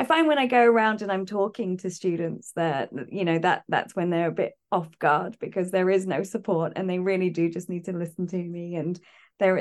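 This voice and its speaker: At a fairly quick pace, a woman with a British accent speaks at a medium pitch with ordinary pitch variation. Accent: British, teacher-style RP-leaning. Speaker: university lecturer. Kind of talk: interview chat.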